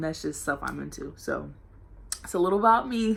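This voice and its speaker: At a moderate pace, a woman speaks in an energetic tone with an American accent. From Norfolk, Virginia, US. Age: 18. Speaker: college student vlogger. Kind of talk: casual vlog Q&A. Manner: loud and energetic.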